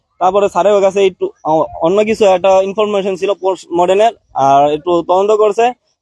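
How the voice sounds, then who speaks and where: High-pitched for a man, a dark, mellow tone. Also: fairly even intonation, very even loudness, dry, close sound with no echo. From Munshiganj, Bangladesh. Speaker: victim's son, migrant worker. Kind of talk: interview testimony.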